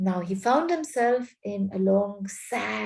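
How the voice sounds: The pitch moves in an ordinary way. It comes from a natural reading voice.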